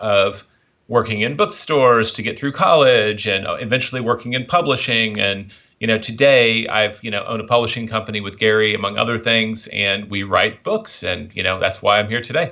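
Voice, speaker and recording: At a moderate pace and medium pitch, a man with a slight Southern US accent talks with fairly even intonation. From US South, Memphis, Tennessee. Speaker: author and publisher. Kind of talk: interview.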